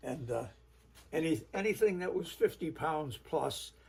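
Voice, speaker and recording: A man speaks at a moderate pace in a dark, mellow tone that is somewhat breathy. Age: 80s+. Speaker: retired commercial fisherman. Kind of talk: casual storytelling.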